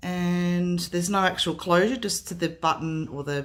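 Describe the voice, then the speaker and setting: With an Australian accent, a woman speaks at a moderate pace in a fairly low pitch, with ordinary pitch variation. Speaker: craft artist. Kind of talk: product showcase. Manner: casual with frequent fillers.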